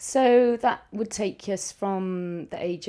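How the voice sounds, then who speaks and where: A woman speaks with a Cardiff accent. Her pitch varies in an ordinary way. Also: very clean recording, silent background. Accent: Welsh, Cardiff. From Wales, Cardiff. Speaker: primary school teacher. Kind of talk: casual family interview. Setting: family home.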